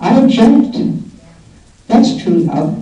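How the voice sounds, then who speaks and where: Noticeable background noise accompanies a woman as she talks. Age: 80s+. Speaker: peace activist. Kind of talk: award acceptance speech.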